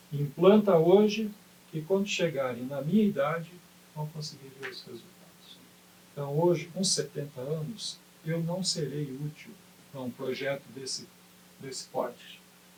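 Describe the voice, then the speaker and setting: Noticeable background noise sits behind a man with a fairly high pitch and ordinary pitch variation. His speech has long, frequent pauses. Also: big swings in loudness. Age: 70s. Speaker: retired basketball coach and sports administrator. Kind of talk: interview.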